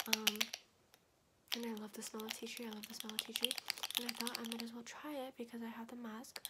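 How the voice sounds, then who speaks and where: A soft-spoken woman with a fairly high pitch talks at a very fast pace over noticeable background noise. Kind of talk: ASMR video. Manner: soft-spoken, fast.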